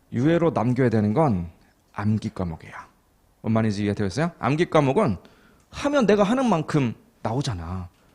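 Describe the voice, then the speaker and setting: Talking at a fairly quick pace, a man with a medium pitch makes very wide pitch swings and leaves long, frequent pauses. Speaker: accounting exam lecturer. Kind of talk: lecture. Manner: slightly muffled articulation; conversational, frequent check questions.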